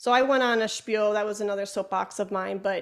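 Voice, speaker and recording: Speaking at a medium pitch, a woman talks with a slight Chicago accent. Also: very clean recording, silent background. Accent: Chicago accent, slight to moderate. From Chicago, US Midwest. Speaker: flutist, educator and podcaster. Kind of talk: interview conversation. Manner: talkative, animated.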